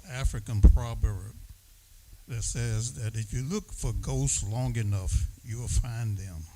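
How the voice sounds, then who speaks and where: A man speaks very slowly in a fairly low pitch, his dark, mellow tone somewhat breathy and his intonation lively. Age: 80s+. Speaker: community resident. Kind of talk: public comment at community meeting.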